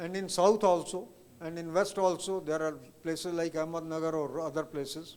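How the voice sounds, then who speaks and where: Here a man talks in a high voice. He keeps a moderate pace and fairly even intonation. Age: 70s. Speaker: chartered accountant, past professional body president. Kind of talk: Q&A answer at a professional seminar.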